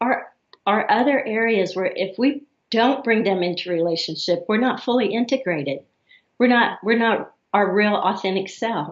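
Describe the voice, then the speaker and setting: With a slight Southern US accent, a woman speaks at a fairly high pitch. Her pitch varies in an ordinary way. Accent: slight Southern drawl. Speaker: therapist. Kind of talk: interview.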